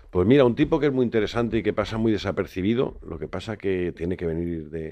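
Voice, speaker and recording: In an ordinary speaking voice, a man with fairly low pitch talks at a fairly quick pace with hardly any pauses. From Madrid, Spain (born in A Coruña). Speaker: fishmonger and seafood expert. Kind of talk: interview. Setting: studio.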